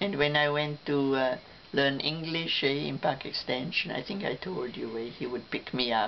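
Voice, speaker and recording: A woman with a very deep, low voice speaks at a moderate pace with ordinary pitch variation over noticeable background noise. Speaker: family elder telling life stories. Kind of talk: casual family reminiscence. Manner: halting, with fillers and restarts.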